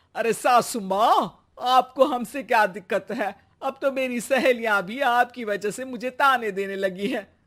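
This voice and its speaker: A put-on character voice with a rumbling, fairly high pitch speaks at a moderate pace on a very clean recording with a silent background. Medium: cartoon. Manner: grumbling, sarcastic.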